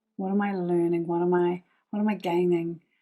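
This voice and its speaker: A woman's medium-pitched voice at a fairly slow pace, with fairly even intonation and music in the background. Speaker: spiritual teacher. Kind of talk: guided meditation.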